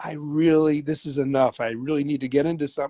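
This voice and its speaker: Dry and close with no echo, a man's voice has a dark, mellow tone. He speaks at a fairly quick pace in a fairly high pitch. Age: 60s. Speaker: jazz drummer and rapper. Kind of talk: casual chat. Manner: halting.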